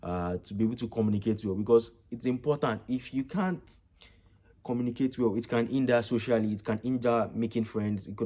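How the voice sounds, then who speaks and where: A man with a Nigerian accent, medium-pitched with a dark, mellow tone, ordinary pitch variation and a fairly quick pace, in a very clean recording with a silent background. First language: Yoruba. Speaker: vlogger, international student. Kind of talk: casual vlog reflection.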